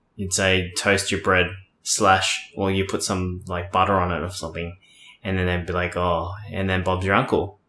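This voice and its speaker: Bright, sharp tone in an Australian accent, monotone, flat intonation, on a very clean recording with a silent background. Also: man, very deep, low pitch for a man, moderate pace. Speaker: podcast co-host. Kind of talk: casual chat.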